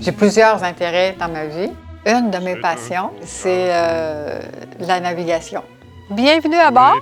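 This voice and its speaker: Over background music, a woman at a medium pitch speaks very slowly, her loudness swinging widely. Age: 70s. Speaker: retired sailing enthusiast. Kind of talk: documentary interview answer.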